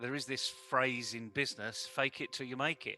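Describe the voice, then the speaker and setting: Music plays in the background as a man talks. He has a British accent and a medium pitch. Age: 60s. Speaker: communication trainer. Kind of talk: interview.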